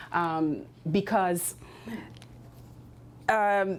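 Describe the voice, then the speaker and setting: A woman with a Philadelphia accent and a dark, mellow tone. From US Northeast, Philadelphia. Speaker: career coach. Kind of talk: workshop talk.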